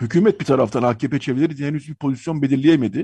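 A man's fairly high, somewhat breathy voice with a dark, mellow tone, dry and close with no echo, over a quiet background. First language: Armenian (speaking Turkish). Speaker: radio host. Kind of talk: radio talk show.

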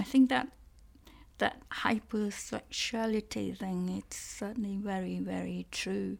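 A woman speaks with a Cantonese accent. Her pace is fairly slow. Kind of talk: casual conversation, interview. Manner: laughs often, hesitant with fillers.

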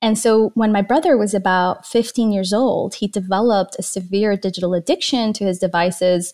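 A woman with a normal speaking voice at medium pitch, at a fairly quick pace with hardly any pauses and ordinary pitch variation, in a very clean recording with a silent background. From Iran, then Canada as a teen. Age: 30s. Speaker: digital wellness advocate and documentary producer. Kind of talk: interview conversation.

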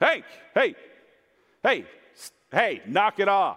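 A man puts on a loud character voice with an extremely high pitch. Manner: stern, commanding, loud.

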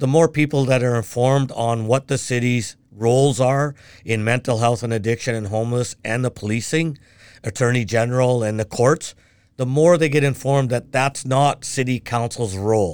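A man with a Canadian accent and a normal speaking voice talks at a moderate pace and medium pitch, with ordinary pitch variation. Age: 60s. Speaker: city council candidate, retired mail carrier. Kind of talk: casual interview conversation.

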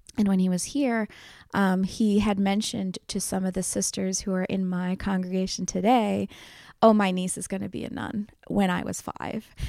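In a Philadelphia accent, a woman speaks with a dark, mellow tone and flat, monotone intonation on a very clean recording with a silent background. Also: medium pitch for a woman, moderate pace. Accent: Philadelphia American. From US, Northeast Philadelphia. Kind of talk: interview testimony. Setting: convent.

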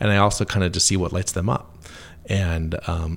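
Somewhat breathy and very deep in pitch, a man talks at a fairly quick pace. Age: 40s. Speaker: animation studio creative executive. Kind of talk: interview.

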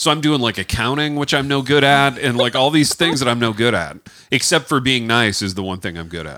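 The voice moves at a fairly quick pace with lively intonation. Vocal fry shows up throughout. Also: man, medium pitch for a man. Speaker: author and college writing teacher. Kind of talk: casual, joking interview. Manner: joking, rambling.

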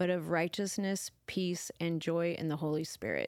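A plain, everyday voice at a moderate pace with fairly even intonation, dry and close with no echo, on a very clean recording with a silent background. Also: woman. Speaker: church podcast co-host. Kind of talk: casual faith conversation.

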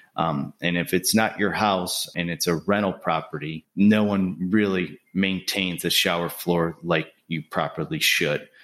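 On a very clean recording with a silent background, a man with a northern US accent speaks at a very deep, low pitch. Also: fairly even intonation, fairly slow pace. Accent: non-Southern, northern US. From Buffalo, New York. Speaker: home builder. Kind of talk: casual interview.

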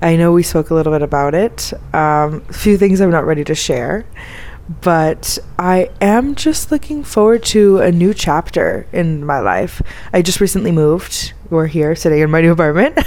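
A woman with an American accent and a fairly low pitch speaks at a moderate pace, with ordinary pitch variation and very even loudness, over noticeable background noise. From Florida. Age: 20s. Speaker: expat interviewee. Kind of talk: casual interview. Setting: in person, Cairo.

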